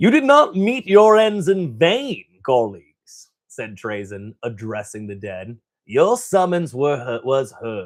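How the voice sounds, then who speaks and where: Putting on a robotic character voice, a man speaks at a fairly slow pace and a fairly high pitch, with very wide pitch swings and big swings in loudness. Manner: solemn, formal.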